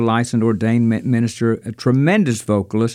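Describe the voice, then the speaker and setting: In a very clean recording with a silent background, a man with an American accent talks at medium pitch, his dark, mellow tone carried on fairly even intonation. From Kentucky, US South. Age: 70s. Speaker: gospel singer. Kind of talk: interview, casual chat.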